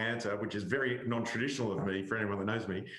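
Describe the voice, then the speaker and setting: A man speaks with an Australian accent. Noticeable background noise and audible room echo are present. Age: middle-aged. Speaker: cyber security expert. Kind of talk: panel discussion. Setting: webinar.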